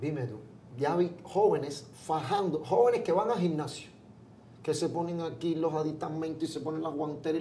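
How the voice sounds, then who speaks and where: Light background noise, a plain, everyday voice, a man at a moderate pace and fairly high pitch. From Cuba, Pinar del Río; Cuba. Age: 40s. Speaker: comedian. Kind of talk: interview. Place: studio. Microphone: lapel.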